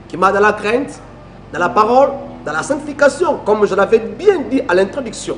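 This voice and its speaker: A man with a Congolese accent, fairly slow pace and lively intonation, amid noticeable background noise. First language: Lingala (speaking French). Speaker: preacher. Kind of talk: sermon.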